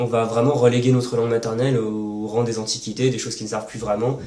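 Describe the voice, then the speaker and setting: There is audible room echo as a man speaks. He talks at a medium pitch and a fairly quick pace. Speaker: language-learning youtuber. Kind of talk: casual Q&A monologue. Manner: fast; hesitant with fillers.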